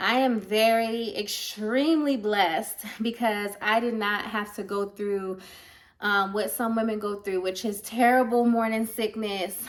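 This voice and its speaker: An animated woman at a fairly slow pace, her pitch fairly high. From Baltimore, Maryland, US. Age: 20s. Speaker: family vlogger. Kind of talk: casual vlog talk to camera.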